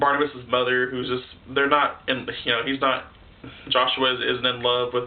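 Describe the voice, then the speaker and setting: Moderate-paced speech from a man, noticeable background noise behind him. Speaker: video reviewer. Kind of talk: casual review monologue. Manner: halting, stuttering; animated.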